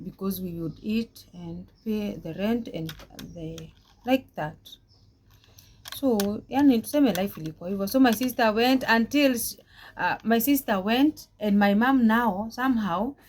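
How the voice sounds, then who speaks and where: A woman with a fairly high pitch speaks at a fairly slow pace, her somewhat breathy voice showing ordinary pitch variation, big swings in loudness, and long, frequent pauses. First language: Swahili. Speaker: vlogger, domestic worker. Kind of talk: personal life story vlog. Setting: talking to camera. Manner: halting, with many repetitions.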